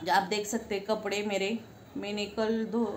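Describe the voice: At a moderate pace, a woman speaks at a medium pitch with little pitch movement, with audible room echo around her.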